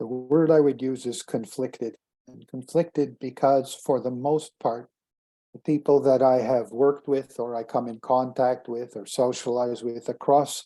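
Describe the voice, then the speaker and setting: Speaking at a moderate pace with a Montreal accent, a man uses a medium pitch, a dark, mellow tone and fairly even intonation, while his loudness swings widely. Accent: Montreal anglophone Canadian English. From Quebec (Montreal). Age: 70s. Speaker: former school board leader. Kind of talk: interview. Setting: video call. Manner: halting.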